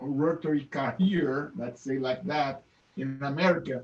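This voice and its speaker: This man has a non-native accent and a fairly high pitch. He speaks at a fairly slow pace with fairly even intonation. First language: not English. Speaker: Rotary club member. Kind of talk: thank-you remarks. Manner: halting.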